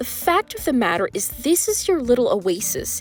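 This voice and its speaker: Music can be heard behind the voice. It belongs to a woman speaking at a moderate pace. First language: Spanish. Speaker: travel vlogger. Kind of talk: casual vlog talk to camera.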